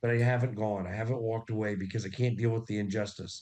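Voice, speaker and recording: Rattling along at a very fast pace, a man speaks with a medium pitch and a dark, mellow tone. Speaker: investigator and documentarian. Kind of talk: interview.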